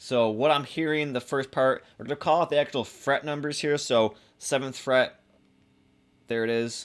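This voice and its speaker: A very clean recording with a silent background, fairly quick pace, and ordinary pitch variation. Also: man. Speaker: guitar teacher. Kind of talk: tutorial. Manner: fast; casual, halting.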